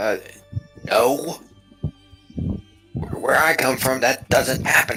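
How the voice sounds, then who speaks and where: A man does a raspy put-on character voice at a medium pitch. He talks at a very slow pace while faint music plays in the background. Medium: actual play.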